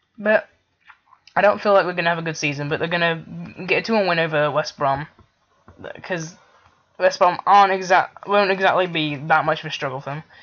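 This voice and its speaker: Using fairly even intonation, a man talks at a fairly quick pace in a high pitch. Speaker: football YouTuber. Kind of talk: casual vlog commentary. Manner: halting.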